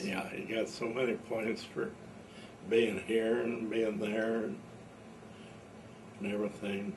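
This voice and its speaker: Through noticeable background noise, a man speaks at a fairly slow pace with long, frequent pauses. His pitch is medium and his intonation fairly even. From Brown County, Indiana. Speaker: war veteran. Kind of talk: interview answer. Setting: at home.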